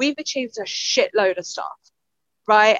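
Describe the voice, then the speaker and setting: A woman's very fast speech with an East London accent, fairly high in pitch, in a dry, close sound with no echo. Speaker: podcast co-host. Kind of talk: casual chat.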